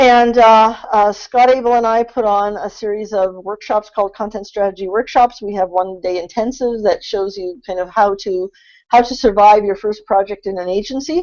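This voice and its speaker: A woman with an ordinary speaking voice. Her pitch is fairly high and her intonation fairly even. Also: moderate pace, hardly any pauses. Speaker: content strategy consultant. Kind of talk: webinar presentation. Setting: online webinar.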